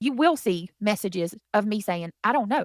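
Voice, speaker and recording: The voice has a Southern US accent and an animated tone with lively intonation, and the sound is dry and close with no echo. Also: woman. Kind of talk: heated debate.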